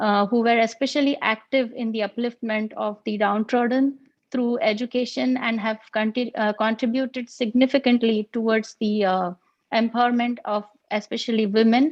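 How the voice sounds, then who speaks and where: A woman speaks with a Marathi accent. Her pitch is fairly high and her intonation fairly even. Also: moderate pace. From India, Pune. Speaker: engineer and regional coordinator. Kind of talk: formal address at online inauguration.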